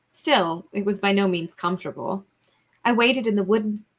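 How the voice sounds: Over a quiet background, a natural reading voice comes through with ordinary pitch variation.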